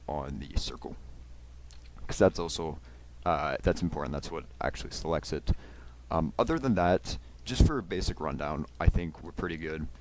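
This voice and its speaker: A man with a very deep, low voice and vocal fry talks at a fairly quick pace. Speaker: YouTuber making software tutorials. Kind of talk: tutorial. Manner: fast; casual with many fillers.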